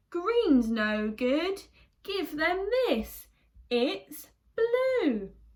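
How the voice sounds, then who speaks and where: Putting on a character voice, a woman speaks very slowly at an extremely high pitch with very wide pitch swings. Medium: read story. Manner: hearty, confident.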